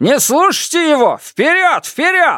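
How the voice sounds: In a put-on character voice, a man speaks fairly slowly at an extremely high pitch, with very wide pitch swings and a bright, sharp tone, on a very clean recording with a silent background.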